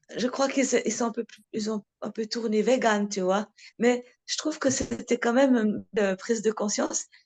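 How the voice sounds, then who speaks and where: Dry and close with no echo, a woman's fairly high voice moves at a moderate pace with ordinary pitch variation. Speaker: talk speaker at a devotee meeting. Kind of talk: casual chat. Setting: video call.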